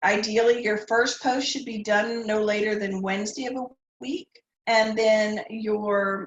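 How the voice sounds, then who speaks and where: A somewhat breathy woman's voice, fairly high in pitch, with ordinary pitch variation and a moderate pace. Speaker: college history professor. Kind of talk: tutorial.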